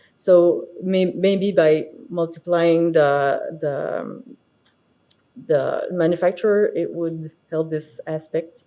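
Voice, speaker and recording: A woman speaks with a Quebec accent at a very slow pace. Her fairly low pitch, fairly even intonation and dark, mellow tone stand out. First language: French. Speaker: architect and firm partner. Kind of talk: conference presentation. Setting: stage with audience. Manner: halting, many fillers.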